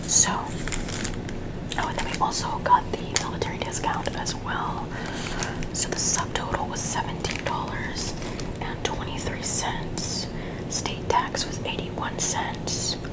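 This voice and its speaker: The speaker whispers, soft-spoken and very slow. Loud background noise fills the recording. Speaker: receipt review vlogger. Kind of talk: casual vlog chat. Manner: soft ASMR whisper reading receipt. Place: home room.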